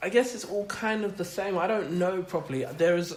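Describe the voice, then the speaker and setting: A high-pitched male voice over noticeable background noise. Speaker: podcast host, poet. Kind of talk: casual podcast conversation. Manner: musical cadence.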